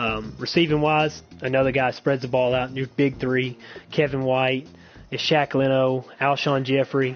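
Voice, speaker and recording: Talking in an Arkansas accent, a man of medium pitch keeps a fairly slow pace and fairly even intonation. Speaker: online game league podcast host. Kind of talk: game preview commentary. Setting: live stream. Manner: casual, with many fillers.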